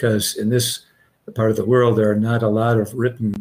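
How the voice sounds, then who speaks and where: In a somewhat breathy voice, a man talks with monotone, flat intonation. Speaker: Bible translation professor. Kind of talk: panel discussion. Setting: video call. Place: home room.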